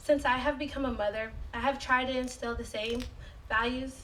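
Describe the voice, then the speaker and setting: A woman speaks in a high pitch at a moderate pace. Audible room echo and noticeable background noise fill the recording. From San Francisco. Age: 20s. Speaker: community resident. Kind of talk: prepared speech.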